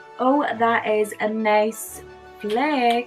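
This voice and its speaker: A woman speaks with a Northern Irish accent. Music plays in the background. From Belfast, Northern Ireland. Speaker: makeup vlogger. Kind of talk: makeup tutorial talk to camera. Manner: casual, humorous.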